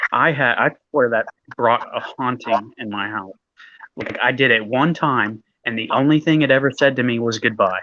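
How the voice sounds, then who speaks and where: With a plain, everyday voice, the man talks at medium pitch and a moderate pace, his pitch varying in an ordinary way. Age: 30s. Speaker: live streamer. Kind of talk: casual chat. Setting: live stream.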